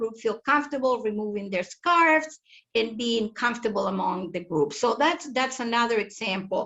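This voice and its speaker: With a Spanish accent, a woman speaks at a moderate pace in a fairly high pitch with ordinary pitch variation. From Chile. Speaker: family support center director. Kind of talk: webinar panel discussion. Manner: halting, with repetitions.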